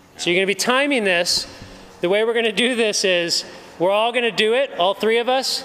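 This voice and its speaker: A man's raised, projected voice with ordinary pitch variation, light background noise underneath. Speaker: challenge host. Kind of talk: casual vlog chat explaining rules. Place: gym. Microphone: phone near.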